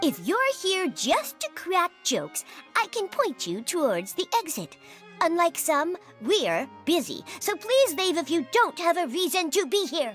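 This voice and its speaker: Over clear background music, a put-on character voice at an extremely high pitch moves along at a moderate pace. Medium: fan dub. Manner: brusque, officious.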